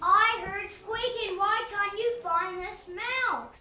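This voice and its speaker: Extremely high and very slow, this cartoonish character voice carries a slight echo. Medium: puppet show. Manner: commanding.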